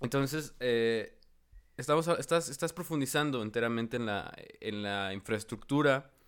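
A man talks at a fairly slow pace in a plain, everyday voice. His pitch varies in an ordinary way. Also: very clean recording, silent background. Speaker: podcast host. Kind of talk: casual chat.

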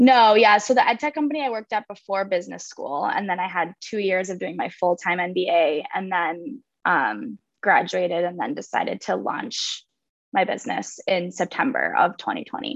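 A woman speaks in a normal speaking voice with an American accent and lively intonation. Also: medium pitch for a woman, moderate pace. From Minnesota, Minneapolis area. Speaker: social club founder. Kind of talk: casual chat.

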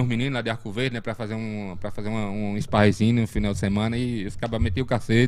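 Speaking at a very fast pace, a man keeps his medium-pitched voice fairly even. The recording is very clean, with a silent background. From Brazil, Pernambuco sertão (Sertânia area). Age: 40s. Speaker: martial arts instructor. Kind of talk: casual interview. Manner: halting, many fillers and repetitions.

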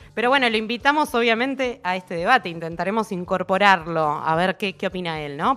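A woman's bright, sharp tone, fairly quick pace and lively intonation. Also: hardly any pauses, very clean recording, silent background. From Argentina, Buenos Aires. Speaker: radio host. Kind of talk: casual chat.

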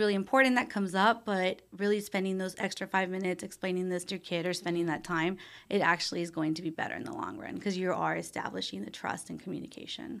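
A woman speaks in a normal speaking voice at a medium pitch with ordinary pitch variation. The recording is very clean, with a silent background. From Texas, Brownsville. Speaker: marriage and family therapist. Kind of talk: interview.

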